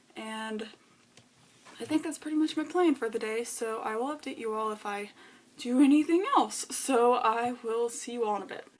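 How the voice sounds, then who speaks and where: A woman with a high pitch talks at a moderate pace with ordinary pitch variation and big swings in loudness, against noticeable background noise. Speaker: book vlogger. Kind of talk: vlog. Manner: casual, filler-heavy.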